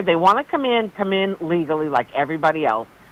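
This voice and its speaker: A woman with a Boston accent talks at a fairly quick pace with very wide pitch swings. Noticeable background noise runs underneath. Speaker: caller. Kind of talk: call-in conversation. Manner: animated.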